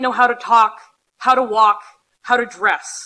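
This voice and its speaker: A woman's raised, projected voice, bright and sharp in tone, at a fairly slow pace. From Alberta, western Canada. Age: 20s. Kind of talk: conference talk with humor. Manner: loud.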